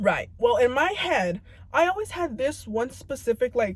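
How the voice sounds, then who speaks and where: A woman speaks in a somewhat breathy voice. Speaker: vlogger. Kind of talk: casual monologue. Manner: stuttering, mumbling; halting.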